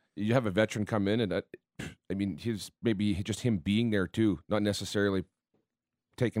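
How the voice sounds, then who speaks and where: A man with an ordinary speaking voice talks at a fairly quick pace and a fairly low pitch, with fairly even intonation. The recording is very clean, with a silent background and a dry, close sound with no echo. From Manitoba, Canada (Winnipeg, then Winkler). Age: 40s. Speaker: hockey analyst. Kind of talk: sports radio chat. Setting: studio.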